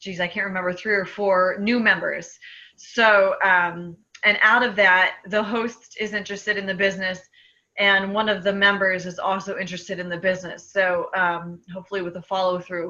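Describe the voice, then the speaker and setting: A woman speaks with a bright, sharp tone. Her intonation is monotone and flat. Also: medium pitch for a woman. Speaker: speech therapist and sales distributor. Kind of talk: casual chat. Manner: fast.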